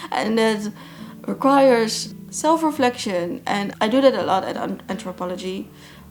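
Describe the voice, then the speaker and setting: Over music in the background, a woman speaks with a non-native accent at a fairly high pitch. Her pace is moderate and her intonation lively. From Netherlands. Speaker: plant YouTuber. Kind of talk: Q&A vlog. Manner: halting.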